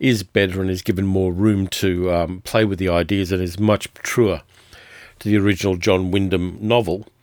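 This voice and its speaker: Fairly low-pitched man with an Australian accent at a fairly quick pace, on a very clean recording with a silent background. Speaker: podcast host, film and TV reviewer. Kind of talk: solo review monologue.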